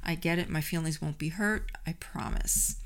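With a New York accent, a woman speaks at a fairly slow pace and a fairly low pitch, using vocal fry and ordinary pitch variation. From New York City. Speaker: podcast host and health coach. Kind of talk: solo podcast monologue. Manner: animated, friendly, conversational.

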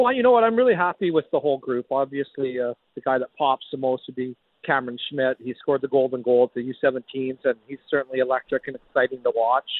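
A man talks at a fairly quick pace with lively intonation. He has a plain, everyday voice. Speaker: junior hockey general manager. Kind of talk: radio interview.

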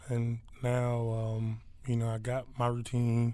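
A man with an American accent speaks at a medium pitch in monotone, flat intonation. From Philadelphia, US. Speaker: pro football player. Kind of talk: interview.

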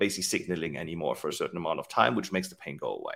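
With a German accent, a man is speaking. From Germany. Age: 40s. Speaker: fitness tech company CEO. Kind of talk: interview.

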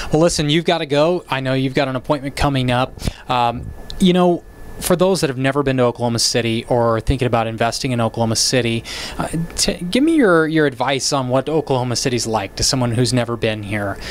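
A man's medium-pitched voice at a very fast pace, with ordinary pitch variation and noticeable background noise. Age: 30s. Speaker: real estate podcast host, realtor. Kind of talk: casual interview.

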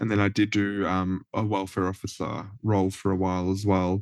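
Against a quiet background, a man with an Australian accent speaks in a fairly low pitch, the sound dry and close with no echo. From rural Australia, NSW-Victoria border. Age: 20s. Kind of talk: casual interview.

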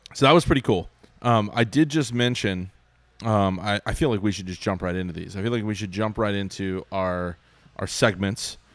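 A plain, everyday voice, a man at fairly low pitch with ordinary pitch variation and a moderate pace. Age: 30s. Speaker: podcast host. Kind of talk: casual chat.

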